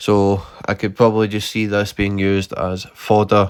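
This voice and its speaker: A man in a strong Scottish accent, fairly low in pitch, at a moderate pace, on a very clean recording with a silent background. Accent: thick Scottish. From Scotland. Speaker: gaming YouTuber. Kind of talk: gameplay commentary. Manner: monotone; unscripted, hesitant.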